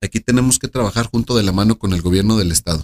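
In a dry, close recording with no echo, a man talks in an ordinary speaking voice, medium in pitch with ordinary variation. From Mexico, Aguascalientes. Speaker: political candidate. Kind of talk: interview. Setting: restaurant.

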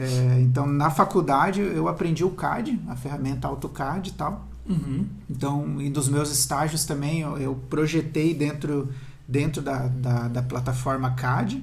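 A man's fairly high voice at a fairly slow pace with fairly even intonation, amid noticeable background noise and audible room echo. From southern Brazil (Paraná / Santa Catarina). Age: 30s. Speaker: architect. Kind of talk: interview. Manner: halting.

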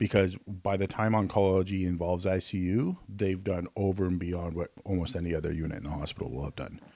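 With a Canadian accent, a man speaks fairly quickly in a very deep, low voice with a dark, mellow tone and fairly even intonation. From Canada. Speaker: nurse and nursing instructor. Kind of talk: casual chat.

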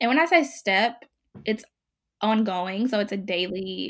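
A woman uses a plain, everyday voice with an American accent, medium pitch, lively intonation and a moderate pace on a very clean recording with a silent background. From US South, Mississippi. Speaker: blogger. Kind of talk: casual interview.

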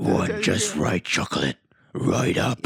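A man puts on a raspy character voice at a medium pitch, serious in tone. His pace is fairly slow. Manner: gruff, serious.

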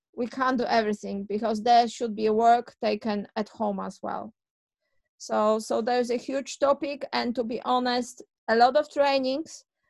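A woman speaks with a Polish accent at a moderate pace. Her pitch is fairly high and her intonation fairly even. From Poland. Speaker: childcare owner and author. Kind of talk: interview.

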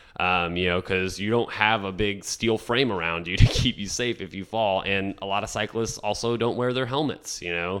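A man with an American accent, fairly low in pitch with ordinary pitch variation, at a moderate pace with hardly any pauses, over noticeable background noise. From Texas, Rio Grande Valley. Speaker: city council candidate. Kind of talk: radio interview.

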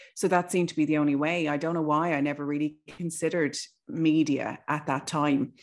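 A woman speaks with an Irish accent at a fairly quick pace, her pitch very deep and low. Her intonation stays fairly even over a quiet background. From Ireland. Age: 40s. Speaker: broadcaster. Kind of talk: casual chat.

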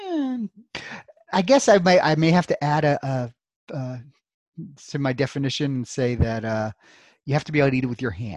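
Pausing long and often, a man with a fairly high pitch talks at a moderate pace with lively intonation. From Brooklyn, New York; partly Louisville, Kentucky. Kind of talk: casual interview. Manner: hesitant, many fillers.

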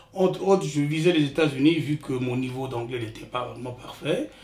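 A man with a fairly high pitch talks with ordinary pitch variation as noticeable background noise carries on. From Republic of the Congo (Brazzaville), village. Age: 60s. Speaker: retired IT worker, immigrant father. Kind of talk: life story interview. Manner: halting, repeats words.

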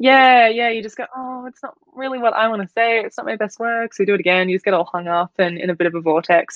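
Very fast speech from a woman with an Australian accent. Her pitch varies in an ordinary way. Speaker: fashion brand founder and student. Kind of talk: casual interview chat.

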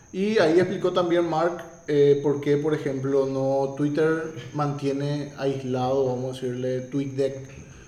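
Over noticeable background noise and audible room echo, a man with a fairly high pitch talks at a fairly slow pace, his intonation fairly even and hardly any pauses. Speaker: tech commentator. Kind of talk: opinion commentary.

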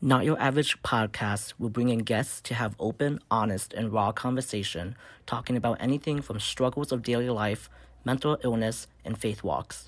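On a very clean recording with a silent background, a man with an American accent speaks at a moderate pace and medium pitch. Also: ordinary pitch variation. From US Midwest (South Bend, Indiana). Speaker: podcast host, social work student. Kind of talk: scripted introduction.

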